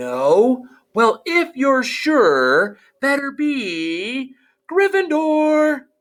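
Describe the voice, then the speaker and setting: The speaker uses a put-on character voice, high in pitch and very slow in pace. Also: very clean recording, silent background. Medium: read story. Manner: deliberating, musing.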